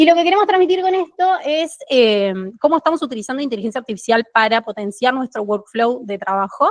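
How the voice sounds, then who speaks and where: A woman speaks in a high voice at a fairly quick pace, her pitch swinging very widely. The sound is dry and close, with no echo. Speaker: QA team lead, conference speaker. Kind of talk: tech meetup talk. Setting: stage with live audience. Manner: fast.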